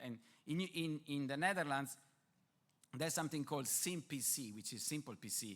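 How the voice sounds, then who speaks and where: A medium-pitched male voice at a fairly quick pace, lively in intonation, on a very clean recording with a silent background. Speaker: survey researcher, conference presenter. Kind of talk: conference presentation. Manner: fast; hesitant, many fillers.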